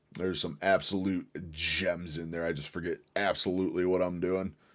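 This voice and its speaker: On a very clean recording with a silent background, a man speaks in a very deep, low pitch. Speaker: livestreamer. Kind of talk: casual livestream chat. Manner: stumbles over words.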